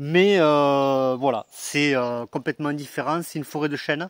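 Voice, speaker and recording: A man at a fairly high pitch with fairly even intonation, in a dry, close sound with no echo. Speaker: metal detecting explorer and video host. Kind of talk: casual vlog narration outdoors. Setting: outdoors in an oak forest on a mountain. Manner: hesitant, many fillers.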